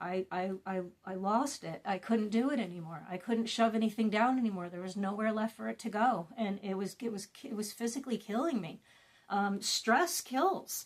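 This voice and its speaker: A woman with a normal speaking voice keeps a fairly high pitch, ordinary pitch variation and a moderate pace. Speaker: wellness and trauma-healing content creator. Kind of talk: casual talk to camera, guided meditation talk.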